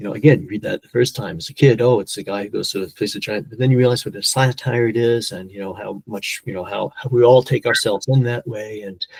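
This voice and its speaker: A somewhat breathy man talks at a very fast pace, his loudness swinging widely while his pitch varies in an ordinary way. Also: medium pitch for a man, hardly any pauses, dry, close sound with no echo. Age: 60s. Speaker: polyglot and language educator. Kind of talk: podcast interview. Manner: halting, many repeated words.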